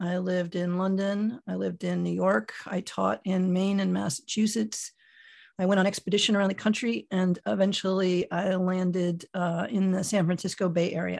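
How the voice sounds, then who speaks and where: At a moderate pace, a woman talks in an ordinary speaking voice, medium in pitch with fairly even intonation, against a quiet background. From US, Miami, Florida. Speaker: personal development coach and author. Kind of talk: interview.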